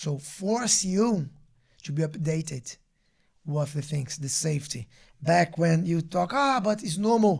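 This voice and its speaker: A high-pitched man with a strong Brazilian accent speaks with lively intonation. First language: Portuguese. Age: 30s. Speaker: martial arts instructor. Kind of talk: casual interview chat. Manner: halting.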